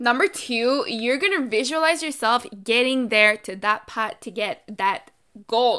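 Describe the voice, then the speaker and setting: Speaking with a French accent, a woman uses a fairly high pitch, an animated, energetic tone, a bright, sharp sound and lively intonation at a fairly slow pace, on a very clean recording with a silent background. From Canada. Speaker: podcast host, financial activist and entrepreneur. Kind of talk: solo podcast monologue, casual and motivational. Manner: animated, energetic, casual.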